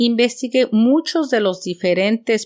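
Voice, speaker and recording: A woman with an unremarkable speaking voice talks at a fairly slow pace with lively intonation. The very clean recording has a silent background and a dry, close sound with no echo. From Mexico City. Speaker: podcast host and teacher. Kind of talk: scripted podcast monologue. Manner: clear, measured for learners.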